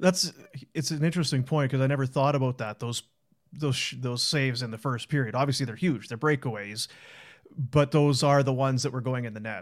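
A man with an ordinary speaking voice, medium pitch, ordinary pitch variation and a fairly quick pace, in a very clean recording with a silent background. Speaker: hockey podcast host. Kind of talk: casual post-game show chat.

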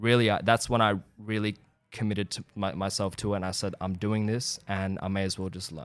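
A man's fairly low voice holds a fairly even intonation as he talks at a moderate speed. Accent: Australian. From Iran, then Australia from age eight. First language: Persian. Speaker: actor. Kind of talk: casual chat.

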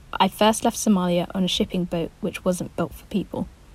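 A woman speaks at a moderate pace in a medium pitch. Vocal fry runs through her voice. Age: 20s. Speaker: writer. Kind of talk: reading aloud.

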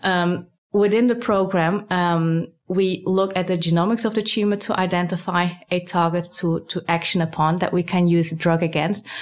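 Speaking with a Dutch accent, a woman keeps her loudness very even and her intonation fairly even. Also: fairly low pitch for a woman, moderate pace. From Netherlands. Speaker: cancer research scientist. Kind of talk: interview.

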